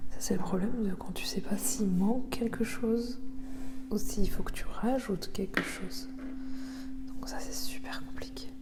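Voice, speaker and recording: Over noticeable background noise, a soft-spoken woman talks at a fairly slow pace with a fairly high pitch, fairly even intonation, and long, frequent pauses. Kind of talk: ASMR craft video, chatting while painting.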